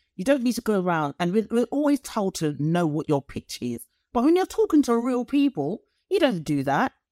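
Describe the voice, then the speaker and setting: A fairly high-pitched woman with a British accent swings very widely in pitch, captured in a very clean, dry, close recording with no echo and a silent background. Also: moderate pace. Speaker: leadership coach and lecturer. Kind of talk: casual interview chat.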